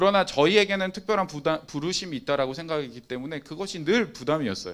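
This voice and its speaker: A man talks at a very fast pace, his pitch fairly high. His intonation is lively. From Busan, South Korea. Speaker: youth pastor (preacher). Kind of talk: sermon. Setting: online Zoom service.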